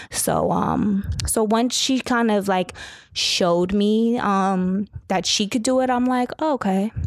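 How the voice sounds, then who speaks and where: A woman with an American accent speaks at a fairly slow pace and a medium pitch. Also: ordinary pitch variation. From Southern California. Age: 20s. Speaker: model and entrepreneur. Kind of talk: casual interview. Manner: calm.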